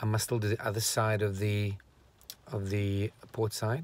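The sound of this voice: A man speaks at a fairly slow pace. His pitch is fairly low and shows little movement.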